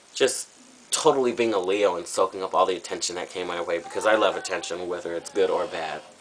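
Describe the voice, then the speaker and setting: A man speaks very fast, with noticeable background noise in the recording. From Southern California. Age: 20s. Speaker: drag performer auditioning. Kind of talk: audition video monologue. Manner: casual, with fillers.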